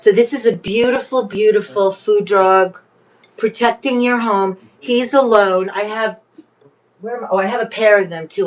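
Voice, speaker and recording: Animated in tone, a woman with a fairly high voice speaks at a fairly slow pace with ordinary pitch variation. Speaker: livestream vintage reseller. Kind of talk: live selling stream, casual chat. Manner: loud, animated.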